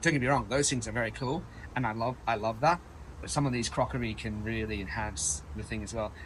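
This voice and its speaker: This man talks at a fairly quick pace with a medium pitch, lively intonation and some vocal fry. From Australia (Perth). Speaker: chef. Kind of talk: interview. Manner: casual, with fillers.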